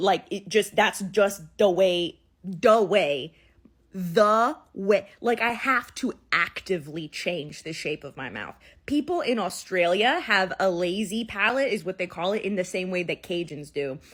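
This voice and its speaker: A woman at medium pitch with a New Orleans accent, lively intonation, big swings in loudness and a fairly slow pace, on a very clean recording with a silent background. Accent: New Orleans accent, non-rhotic. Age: 20s. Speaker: content creator. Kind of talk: casual vlog monologue.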